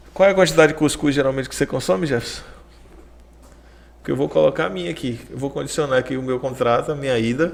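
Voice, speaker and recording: Very fast speech with a slight Bahian accent, lively intonation and long, frequent pauses. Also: man, medium pitch for a man. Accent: Salvador (soteropolitano) Bahian accent, mild. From Bahia, Brazil. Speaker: podcast host. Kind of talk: casual chat interview.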